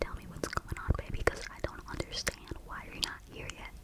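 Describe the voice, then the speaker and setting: At a moderate pace, a woman is whispering, with noticeable background noise around her. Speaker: ASMR creator. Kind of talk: ASMR storytime, personal birth story.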